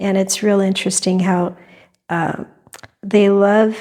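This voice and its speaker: Soft-spoken and fairly slow, a woman talks at medium pitch with monotone, flat intonation. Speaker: fluid art painter. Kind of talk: tutorial. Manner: hesitant, many fillers. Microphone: new clip-on wireless mic, reverb added.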